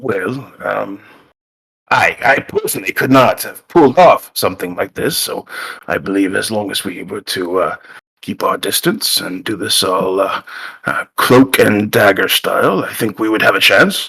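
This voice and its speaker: A raspy, put-on character voice delivers its lines at a moderate pace. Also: man. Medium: actual play. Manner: rambling, sheepish.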